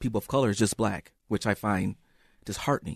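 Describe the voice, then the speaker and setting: With an American accent, a man talks at a fairly low pitch in an unremarkable speaking voice, with ordinary pitch variation and a dry, close sound with no echo over a quiet background. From US Midwest, Saint Paul, Minnesota. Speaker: former schoolteacher. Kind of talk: radio interview.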